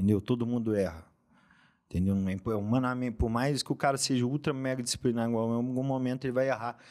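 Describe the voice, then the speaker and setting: A man talking at a very fast pace with fairly even intonation, over a quiet background. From Minas Gerais, Brazil. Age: 30s. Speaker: lawyer and fitness influencer; lawyer, fitness influencer. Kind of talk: casual interview chat. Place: studio. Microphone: studio mic.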